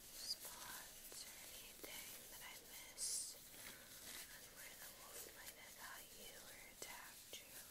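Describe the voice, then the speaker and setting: Whispering, a woman speaks at a very slow pace. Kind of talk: soft roleplay talk to viewer. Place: home room. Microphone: earbuds.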